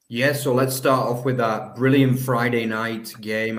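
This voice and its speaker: Through noticeable background noise, a man with an English accent speaks fairly quickly at a medium pitch. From England. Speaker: football podcast co-host. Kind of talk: casual chat.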